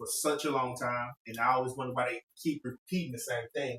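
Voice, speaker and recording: A man with an ordinary speaking voice talks at a fairly quick pace in a medium pitch, his intonation fairly even and the sound dry and close with no echo. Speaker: podcast host giving investing tips. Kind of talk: casual chat.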